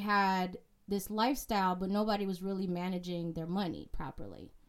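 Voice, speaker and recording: A woman with an unremarkable speaking voice, medium in pitch, fairly even in intonation, at a moderate pace. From immigrant family, raised in US. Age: 30s. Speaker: real estate investor and author. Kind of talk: interview.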